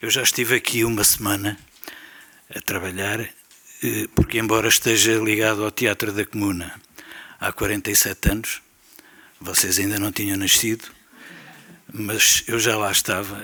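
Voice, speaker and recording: The delivery is a flat monotone, heard over noticeable background noise. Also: man, fairly low pitch for a man, moderate pace. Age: 70s. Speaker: theatre veteran. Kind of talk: round-table talk. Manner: hesitant fillers.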